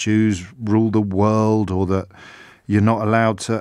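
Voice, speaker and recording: A man's serious-toned voice with ordinary pitch variation against a quiet background. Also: dry sound with no echo. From UK. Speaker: radio presenter. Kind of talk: radio monologue commentary on news. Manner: serious, indignant, reflective. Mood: earnest, reflective. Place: studio. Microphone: studio mic.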